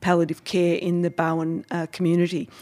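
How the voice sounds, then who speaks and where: Speaking in an Australian accent, a woman's voice sits at a medium pitch. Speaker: podcast host. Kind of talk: casual interview.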